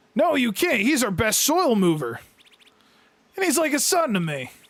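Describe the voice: Putting on a character voice, a man speaks at an extremely high pitch and a moderate pace, with very wide pitch swings.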